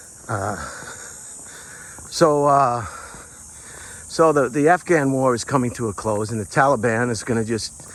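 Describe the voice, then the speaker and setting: Medium-pitched male speech amid noticeable background noise. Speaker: vlogger. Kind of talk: casual monologue. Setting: outdoors. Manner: halting.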